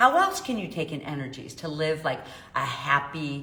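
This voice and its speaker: A woman with a Chicago accent, with audible room echo and noticeable background noise. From US Midwest, South Side of Chicago. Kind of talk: live stream talk to viewers. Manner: casual, filler-heavy.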